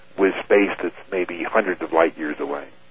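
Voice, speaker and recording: A man talks while background noise is noticeable behind him. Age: 50s. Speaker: airline captain and UFO researcher. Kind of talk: radio interview.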